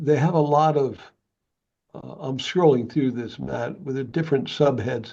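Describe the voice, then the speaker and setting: A man's dark, mellow-toned voice. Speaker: community volunteer. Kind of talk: casual meeting discussion. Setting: video call. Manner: halting.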